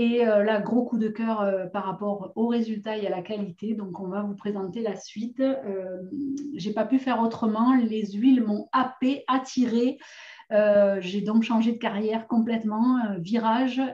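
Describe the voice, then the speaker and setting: Over noticeable background noise, a woman with a southern French accent speaks fairly slowly at a fairly high pitch, her intonation fairly even. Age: 40s. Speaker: essential oils seller and course presenter. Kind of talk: online course introduction. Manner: hesitant, many fillers.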